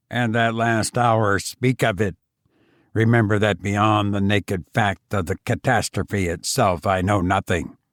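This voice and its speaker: Using a put-on character voice, a man speaks at a fairly low pitch and a fairly slow pace in a very clean recording with a silent background. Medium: read story. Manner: gentle, reassuring.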